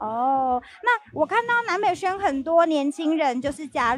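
Moderate pace from a woman amid noticeable background noise. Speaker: video host. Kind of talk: live event tour interview.

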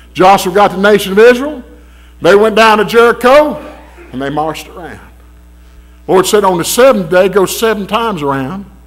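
A man speaks in a Southern US accent with a high pitch. His intonation is lively and his pace moderate. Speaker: preacher. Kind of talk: sermon. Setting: church. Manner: emphatic, preaching cadence, repeated calls for amens; animated, urgent, exhorting the congregation. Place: church. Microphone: podium.

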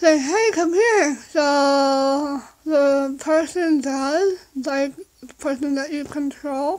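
A woman's very slow speech, with pitch varying in an ordinary way, comes through over a quiet background. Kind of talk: casual vlog chat. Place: home room. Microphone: phone near.

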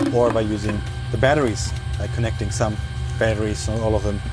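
A man at a very fast pace, with a dry sound with no echo and faint music in the background. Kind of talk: explanatory tutorial. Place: plane.

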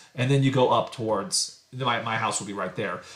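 Medium pitch and ordinary pitch variation from a male speaker. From US, Idaho. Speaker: math professor.

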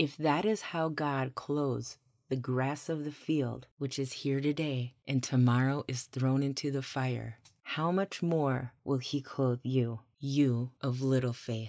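A woman talks at a very slow pace in a very deep, low pitch, her intonation fairly even. The background is quiet. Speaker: scripture narrator, ASMR audio bible reader. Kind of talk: soothing scripture reading for sleep and anxiety relief. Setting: binaural microphone recording, vocals only with calm water ambiance. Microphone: studio mic.

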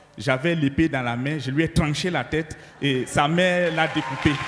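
There is noticeable background noise behind a man. His voice is fairly high, with ordinary pitch variation. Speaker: pastor. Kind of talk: testimony. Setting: church.

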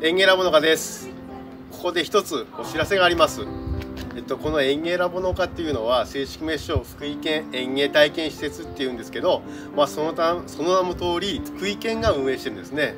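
A man talks at a fairly quick pace with very wide pitch swings. Clear music plays in the background. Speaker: staff member of a prefectural horticulture facility. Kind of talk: farewell announcement to camera. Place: garden. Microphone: camera far.

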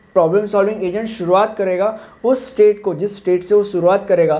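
Over noticeable background noise, a man talks at a high pitch with fairly even intonation. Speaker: engineering tutor. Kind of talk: tutorial.

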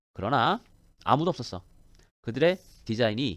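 The recording is very clean, with a silent background. A man speaks at a fairly quick pace, his pitch swinging very widely. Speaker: English teacher. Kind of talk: lecture.

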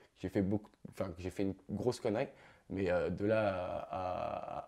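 A man's dark, mellow voice, fairly low in pitch, against a quiet background. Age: 20s. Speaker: YouTuber; youtuber interviewee. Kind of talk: interview. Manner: halting. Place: studio.

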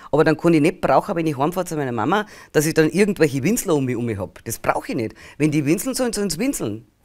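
Against a quiet background, a woman with a Bavarian accent talks very fast in a very deep, low pitch, her pitch swinging very widely. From Bavaria, rural village. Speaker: spiritual healer and channeling medium; interview guest. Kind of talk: interview. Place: studio.

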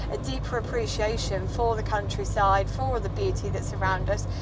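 Loud background noise accompanies speech at a moderate pace, the sound dry with no echo. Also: woman. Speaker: vlogger driving. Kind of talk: casual vlog chat. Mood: reflective, warm. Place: car. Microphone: phone near.

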